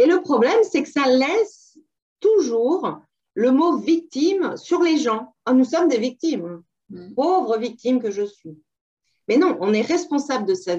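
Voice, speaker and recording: A woman's high-pitched voice has a dark, mellow tone. Her pitch swings very widely. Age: 50s. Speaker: burnout survivor retraining as sophrologist. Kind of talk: interview. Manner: halting.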